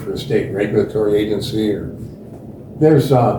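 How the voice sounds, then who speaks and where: A man's voice with fairly even intonation, some audible room echo and noticeable background noise. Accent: American. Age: 70s. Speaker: geology professor. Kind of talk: interview.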